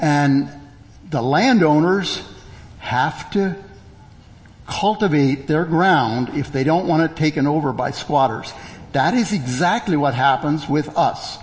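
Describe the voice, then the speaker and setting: With long, frequent pauses, a man with a fairly high pitch talks at a fairly slow pace, showing ordinary pitch variation and very even loudness. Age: 60s. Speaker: preacher. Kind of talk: sermon. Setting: church.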